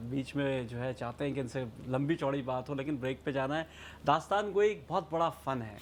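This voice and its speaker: A man's fairly high voice with ordinary pitch variation, an ordinary speaking voice. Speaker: TV talk show host. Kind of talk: TV interview hosting. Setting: studio.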